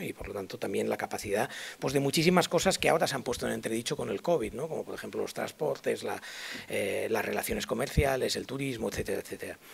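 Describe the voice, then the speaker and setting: A man is speaking. His pace is very fast. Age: 60s. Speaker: public health expert. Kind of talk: conference lecture. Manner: hesitant, many fillers.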